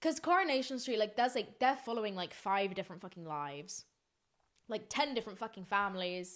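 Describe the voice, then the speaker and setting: Speaking with a British accent, a woman sounds animated, with lively intonation. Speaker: podcast host. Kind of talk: casual solo podcast chat. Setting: office room at night.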